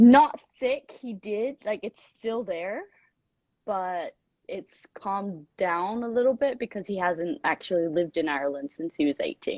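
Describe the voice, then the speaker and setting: A woman's medium-pitched voice at a fairly slow pace, with very wide pitch swings. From Thailand, raised around the world. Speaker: former flight attendant. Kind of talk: casual chat.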